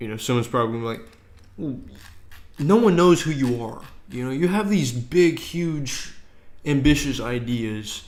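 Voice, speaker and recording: This man has a fairly high pitch and speaks at a moderate pace. Room echo is audible. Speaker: game dev streamer. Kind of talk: casual live stream chat. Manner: halting.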